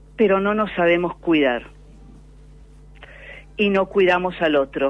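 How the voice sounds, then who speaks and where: Against noticeable background noise, a woman speaks at a very even loudness with ordinary pitch variation. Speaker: pulmonologist. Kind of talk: radio interview answer. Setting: phone line.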